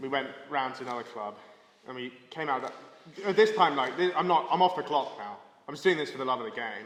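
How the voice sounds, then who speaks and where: Talking at a very fast pace with lively intonation, a man speaks with an English accent. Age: 20s. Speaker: comedian. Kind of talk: casual chat. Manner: animated.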